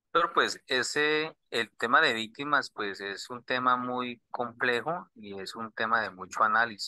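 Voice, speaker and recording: With a Colombian accent, the speaker talks at a fairly slow pace in a bright, sharp tone, recorded with a dry, close sound and no echo. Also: man. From southern Colombia. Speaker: student. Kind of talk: class question.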